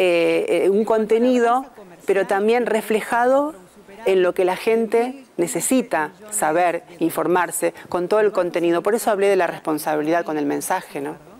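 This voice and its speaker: Against noticeable background noise, a woman with a medium pitch speaks at a moderate pace with lively intonation. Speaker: TV news announcer, broadcaster. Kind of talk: interview answer about her new role.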